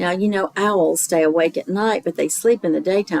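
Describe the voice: This plain reading aloud shows ordinary pitch variation.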